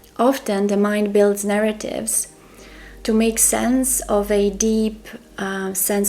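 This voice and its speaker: With a Croatian accent, a woman speaks at a fairly slow pace in a monotone, flat intonation. Noticeable background noise runs underneath. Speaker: spiritual mentor. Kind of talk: monologue to camera.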